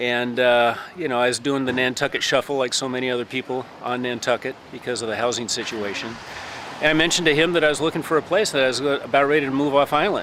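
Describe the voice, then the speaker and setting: A man with a Midwestern accent talks at a very fast pace, his pitch medium and its variation ordinary. Noticeable background noise sits behind him. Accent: Midwest. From US Midwest, Lincoln, Nebraska. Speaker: landscaper and carpenter. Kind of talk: casual interview.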